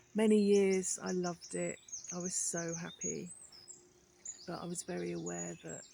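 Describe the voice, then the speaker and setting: Amid noticeable background noise, a woman speaks at a moderate pace with big swings in loudness and long, frequent pauses. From Birmingham, English Midlands. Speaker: vlogger. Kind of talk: casual monologue vlog. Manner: hesitant, many fillers.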